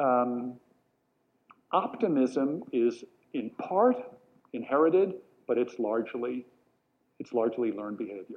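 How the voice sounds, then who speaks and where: A man with an American accent speaks at a medium pitch. He leaves long, frequent pauses. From New York, Long Island. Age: 60s. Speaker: educator and speaker. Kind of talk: talk to a live audience. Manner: animated.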